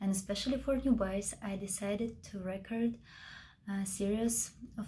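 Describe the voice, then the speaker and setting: Speaking at a fairly slow pace in a monotone, flat intonation, a woman with a Russian accent has a dark, mellow tone and a somewhat breathy voice. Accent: non-native English, Russian. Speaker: mixed media craft tutor. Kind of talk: tutorial. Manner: hesitant, many filler sounds.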